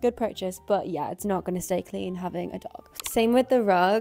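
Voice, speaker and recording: A woman's pitch varies in an ordinary way against noticeable background noise. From Ireland. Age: 20s. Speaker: freelance videographer. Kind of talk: casual talk to camera.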